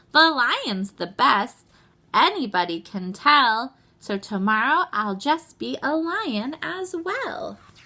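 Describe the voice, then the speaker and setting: A woman puts on a high-pitched character voice with very wide pitch swings. She speaks at a fairly slow pace. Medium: read story.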